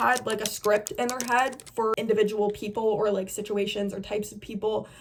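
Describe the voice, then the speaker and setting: A woman's animated tone at a moderate pace with hardly any pauses, over noticeable background noise. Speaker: beauty influencer. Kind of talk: casual chat. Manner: loud.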